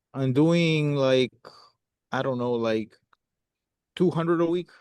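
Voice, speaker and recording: A man's fairly high voice with a non-native accent. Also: ordinary pitch variation, fairly slow pace. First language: not English. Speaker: copywriter playing prospect. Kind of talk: sales roleplay call.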